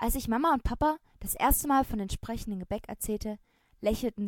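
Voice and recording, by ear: Text read aloud in a natural voice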